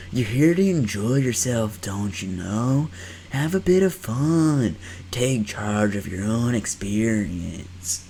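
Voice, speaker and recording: A man's put-on character voice in a Southern US accent, drawling and fairly slow, medium in pitch with lively intonation. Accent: Southern surfer drawl. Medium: solo performance. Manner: laid-back, drawling.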